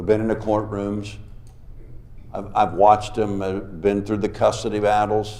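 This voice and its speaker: Through audible room echo, a man's fairly low-pitched voice carries a dark, mellow tone at a moderate pace. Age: 60s. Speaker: revival preacher. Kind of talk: sermon. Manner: animated.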